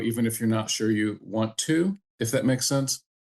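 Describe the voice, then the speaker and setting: An ordinary speaking voice from a man at medium pitch and a moderate pace. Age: 60s. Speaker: entrepreneur and programmer. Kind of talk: podcast interview.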